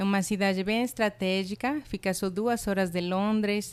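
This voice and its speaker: On a very clean recording with a silent background, a woman with a Spanish accent and medium pitch talks at a moderate pace. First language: Spanish (speaking Portuguese). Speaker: college international representative. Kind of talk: podcast interview. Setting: podcast recording.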